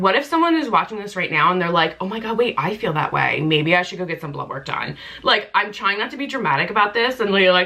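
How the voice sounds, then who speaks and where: Over noticeable background noise, a woman with a medium-pitched voice speaks at a fairly quick pace in an animated tone, her pitch swinging very widely. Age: 30s. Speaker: lifestyle vlogger. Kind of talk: casual chat.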